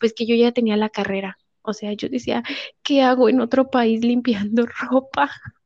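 The speaker has a Mexican accent. The intonation stays fairly even. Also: woman, fairly high pitch for a woman, moderate pace. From Mexico. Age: 20s. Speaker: au pair. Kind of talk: testimony. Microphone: connection dropping briefly.

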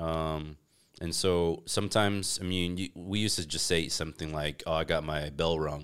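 A man with an American accent has a very deep, low pitch. He keeps fairly even intonation at a moderate pace. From United States. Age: 30s. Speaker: fitness entrepreneur. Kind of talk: casual chat. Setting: in-person home recording setup.

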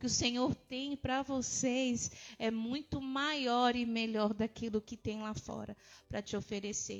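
Here is a woman with a plain, everyday voice and a fairly high pitch. Her pace is fairly slow and her intonation fairly even. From Brazil, São Paulo and interior Minas Gerais. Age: 30s. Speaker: pastor. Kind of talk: interview, faith testimony.

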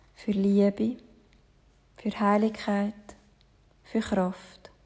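The voice has a gentle tone and moves at a very slow pace. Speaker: yoga teacher. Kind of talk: guided meditation. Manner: slow, soft, calming; gentle, measured, with long pauses.

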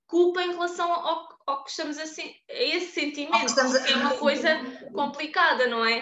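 A woman's raised, projected voice, bright and sharp in tone, carries at a moderate pace with ordinary pitch variation and audible room echo. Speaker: podcast host. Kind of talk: casual chat.

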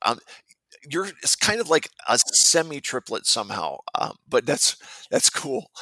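On a dry, close recording with no echo, a man speaks at a moderate pace. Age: 40s. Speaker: podcast host. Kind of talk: interview.

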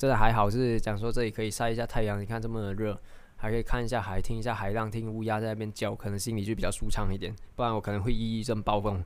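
A man talks at a very fast pace in a fairly low pitch with monotone, flat intonation. Audible room echo surrounds his voice. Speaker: stock market podcast host. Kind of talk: casual explainer monologue. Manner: many fillers and hesitations.

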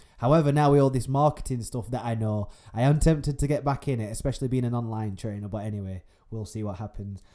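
The speaker's voice has a dark, mellow tone and ordinary pitch variation, delivered at a very fast pace in a Yorkshire accent. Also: man, medium pitch for a man. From northern England. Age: 20s. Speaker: podcaster. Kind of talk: solo casual monologue. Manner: casual, laughing often.

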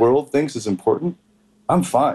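An ordinary speaking voice from a man, fairly high in pitch, with lively intonation at a fairly quick pace. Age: 30s. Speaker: dating coach. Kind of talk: casual interview.

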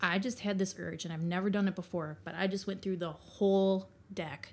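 With an Upper Midwest accent, a woman speaks at a moderate pace in a medium pitch, her intonation monotone and flat. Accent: Upper Midwest American. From Wisconsin, Green Bay. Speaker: tarot reader. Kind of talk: casual interview chat. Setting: in person at host's home.

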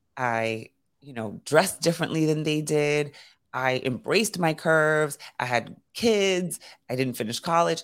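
With a New York accent, a woman talks at a moderate pace on a very clean recording with a silent background. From New York City (Brooklyn and Queens). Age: 40s. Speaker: leadership coach. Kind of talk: casual chat.

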